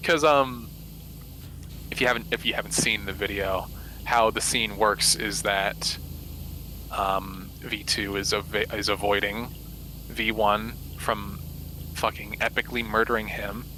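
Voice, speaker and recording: The pace is fairly slow as a man talks. Long pauses break up his speech often. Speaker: voice actor / streamer. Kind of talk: casual chat. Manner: halting, many fillers and restarts.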